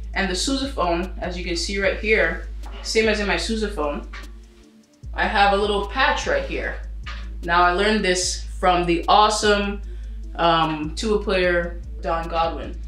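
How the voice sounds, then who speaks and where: Speech comes at a fairly slow pace with long, frequent pauses. Audible room echo and faint music sit in the background. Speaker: teacher. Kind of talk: tutorial. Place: home room.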